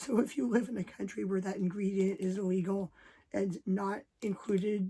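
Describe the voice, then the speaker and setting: Somewhat breathy and dark, mellow in tone, a woman speaks at a medium pitch. Her intonation stays fairly even. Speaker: YouTuber. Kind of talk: rant. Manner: quiet, not to wake family.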